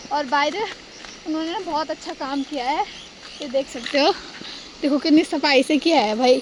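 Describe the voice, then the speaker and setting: A woman talks at a moderate pace in a high voice with ordinary pitch variation, leaving long, frequent pauses. Noticeable background noise runs underneath. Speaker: vlogger. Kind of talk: casual vlog narration. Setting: outdoors, walking to village.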